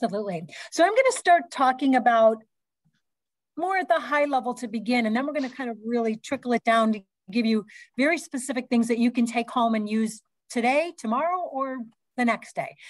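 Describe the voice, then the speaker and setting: Against a quiet background, a woman speaks at a high pitch and a fairly quick pace, with ordinary pitch variation. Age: 60s. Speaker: fitness educator and hospital fitness director. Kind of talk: conference presentation. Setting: video call. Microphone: video call.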